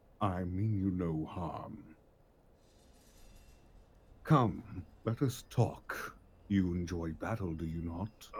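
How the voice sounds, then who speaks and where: In a put-on character voice, a man speaks with a very deep, low pitch. He goes very slowly, with long, frequent pauses. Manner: mysterious, calm, persuasive.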